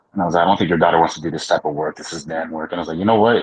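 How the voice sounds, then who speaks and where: This man's voice is very deep and low in pitch, with fairly even intonation. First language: Spanish. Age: 30s. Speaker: trades business owner. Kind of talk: casual podcast chat. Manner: hesitant, many fillers and repetitions.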